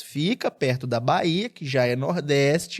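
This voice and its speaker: The man takes his time, talking rather slowly. His pitch rises and falls normally. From Espírito Santo, Brazil. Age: 30s. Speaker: TV journalist. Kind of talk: podcast interview. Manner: animated.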